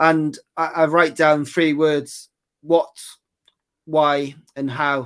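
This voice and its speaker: The recording is very clean, with a silent background. A man speaks in a Welsh accent. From West Wales, Aberystwyth. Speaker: golf putting coach. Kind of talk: interview.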